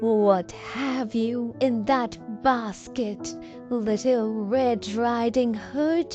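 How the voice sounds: Over clear background music, a woman does a gruff put-on character voice at a fairly high pitch. She speaks at a very slow pace.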